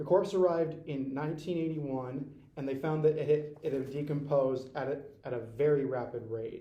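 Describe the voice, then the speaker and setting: Somewhat breathy and fairly high-pitched, a man with an American accent speaks with fairly even intonation and hardly any pauses. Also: moderate pace. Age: 20s. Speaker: community college student. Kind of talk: school book report presentation. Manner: stuttering, repeats words.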